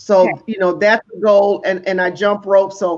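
At a moderate pace, this is a normal speaking voice. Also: woman. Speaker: co-host, home care business owner. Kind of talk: casual chat.

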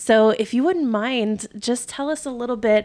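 Against a very clean recording with a silent background, a woman speaks at a fairly slow pace in an ordinary speaking voice with ordinary pitch variation. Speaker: podcast host. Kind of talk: casual interview chat.

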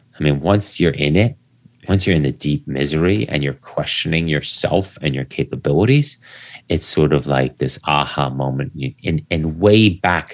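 A man speaks with a very deep, low pitch and vocal fry. His pace is moderate, with ordinary pitch variation. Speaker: endurance coach; podcast guest. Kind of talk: conversational, reflective. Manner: calm, relaxing enough to fall asleep to.

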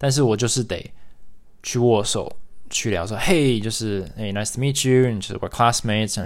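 A man speaks at a medium pitch. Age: 30s. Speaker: podcast host. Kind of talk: solo monologue podcast.

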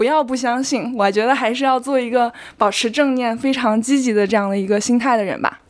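A woman at a fairly quick pace, fairly high in pitch, with ordinary pitch variation. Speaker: internet operations manager. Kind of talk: interview. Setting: home recording.

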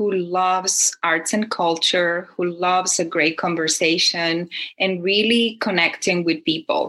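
A woman of medium pitch speaks with a Spanish accent. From Chile. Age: 50s. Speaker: speaker, writer, and tertulia host. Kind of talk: casual interview.

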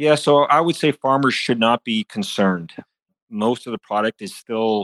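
A man at medium pitch and moderate pace, with a slight Canadian accent, in dry, close sound with no echo. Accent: slight Canadian, e.g. 'about'. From Saskatchewan, Canada (farm). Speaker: agribusiness executive. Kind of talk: podcast interview.

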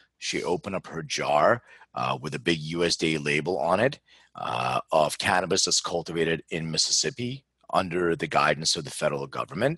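A man with an American accent speaks at a very deep, low pitch and a fairly quick pace, his tone bright and sharp with vocal fry. His intonation is lively, and the sound is dry and close with no echo. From Philadelphia, US. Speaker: genetics company founder. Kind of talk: interview.

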